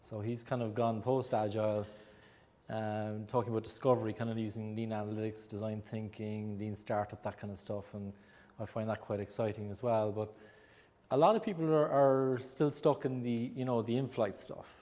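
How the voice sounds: In an Irish accent, a man with a fairly low pitch and a dark, mellow tone speaks at a moderate pace with little pitch movement.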